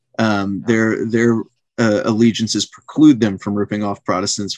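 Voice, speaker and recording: Against a quiet background, a man talks at a moderate pace with an American accent. The sound is dry with no echo, and his intonation is fairly even. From West Africa childhood, US missionary family. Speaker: lawyer and theology writer; podcast guest. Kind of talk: podcast interview. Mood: thoughtful, earnest explanation. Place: home room. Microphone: video call.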